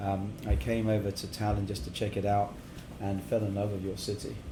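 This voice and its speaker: Audible room echo surrounds a man with an English accent and fairly low pitch. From England, partly Middle East. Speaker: cigar company founder. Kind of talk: casual interview chat. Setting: cigar lounge.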